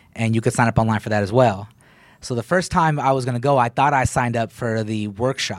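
A man with an American accent has an unremarkable speaking voice and a medium pitch. His pitch varies in an ordinary way, and his pace is fairly quick. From Texas, Killeen. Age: 30s. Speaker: comedian. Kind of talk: casual chat.

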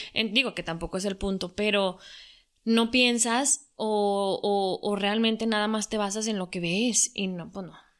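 In a normal speaking voice, a woman talks at a fairly slow pace with medium pitch and fairly even intonation on a very clean recording with a silent background. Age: 40s. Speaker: social media influencer. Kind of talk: casual interview chat.

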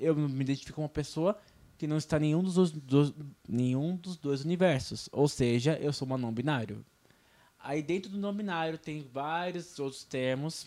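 An unremarkable speaking voice, with ordinary pitch variation and a moderate pace. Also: man. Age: 20s. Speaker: podcast co-host. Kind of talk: casual chat. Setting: radio studio.

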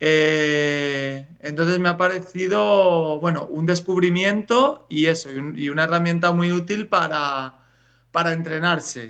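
The speaker is a man with a high pitch. He talks at a fairly slow pace with ordinary pitch variation. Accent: Spanish. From Spain. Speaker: writer. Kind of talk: interview. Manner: hesitant, repeats words.

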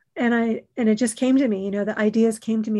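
A woman with an ordinary speaking voice talks at a fairly quick pace with a fairly high pitch. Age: 50s. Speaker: podcast host. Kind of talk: casual interview.

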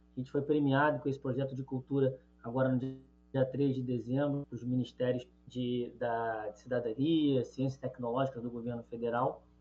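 A man talks at a moderate pace and medium pitch, his intonation monotone and flat. Music plays in the background. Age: 30s. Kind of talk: radio interview.

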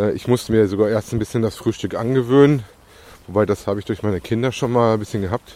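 This man's voice sits fairly low in pitch, with fairly even intonation. He talks at a very fast pace. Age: 40s. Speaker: podcaster documenting weight loss. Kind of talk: casual monologue. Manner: hesitant with filler sounds.

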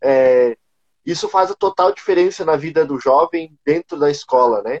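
The recording is dry and close with no echo. A man speaks fairly slowly in a normal speaking voice with ordinary pitch variation. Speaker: city council candidate. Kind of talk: casual online panel chat. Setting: video call live stream. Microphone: unstable internet connection.

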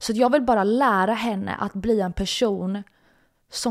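The voice is an ordinary speaking voice, moving at a moderate pace with ordinary pitch variation. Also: woman. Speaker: podcast host. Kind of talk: personal storytelling monologue. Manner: casual, filler-heavy.

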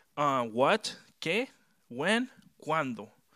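A man with a Chilean accent, a bright, sharp tone and lively intonation at a very slow pace, on a very clean recording with a silent background. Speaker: youth preacher. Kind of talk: sermon. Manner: mixes Spanish and English.

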